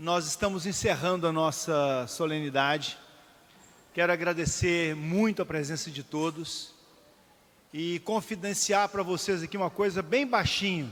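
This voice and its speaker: Pausing long and often, a man talks at a fairly slow pace in a high voice with ordinary pitch variation. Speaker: city councillor presiding over ceremony. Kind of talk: ceremonial closing speech. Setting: city council chamber.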